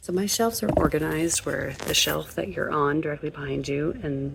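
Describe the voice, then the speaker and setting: A woman with a very deep, low voice speaks with very wide pitch swings over noticeable background noise. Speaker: book vlogger. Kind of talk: casual vlog. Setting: at home late at night.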